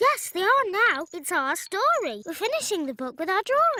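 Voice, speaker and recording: An extremely high, cartoonish character voice with very wide pitch swings at a moderate pace. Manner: gentle, patient.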